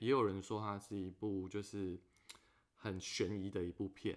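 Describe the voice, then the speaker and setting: A man talks at a fairly slow pace. He has an ordinary speaking voice with fairly low pitch. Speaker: podcast host. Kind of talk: casual chat.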